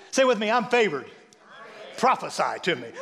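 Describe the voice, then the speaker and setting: Against noticeable background noise, a man with an American accent speaks at a high pitch for a man. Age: 60s. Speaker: pastor. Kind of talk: sermon. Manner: animated.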